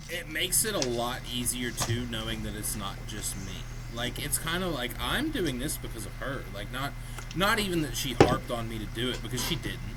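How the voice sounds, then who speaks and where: A man talks over noticeable background noise, with audible echo in the room. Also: moderate pace. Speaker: podcast co-host. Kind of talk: casual chat. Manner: loud.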